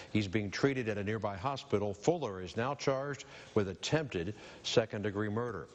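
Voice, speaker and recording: Talking at a fairly quick pace, a man with an ordinary speaking voice and a fairly low pitch shows ordinary pitch variation. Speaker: news anchor. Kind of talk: TV news read.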